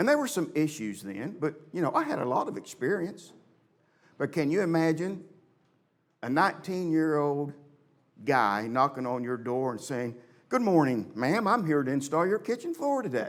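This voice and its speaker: A man with a fairly high voice whose pitch swings very widely. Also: moderate pace. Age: 60s. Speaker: church elder and preacher. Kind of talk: sermon.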